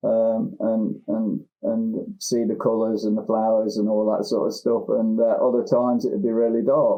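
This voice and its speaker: A man with a Lincolnshire accent talks at a moderate pace with hardly any pauses. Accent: local Lincolnshire. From England, Lincolnshire (Newark). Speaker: therapist and recovered addict. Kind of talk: interview. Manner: halting, many repetitions and fillers.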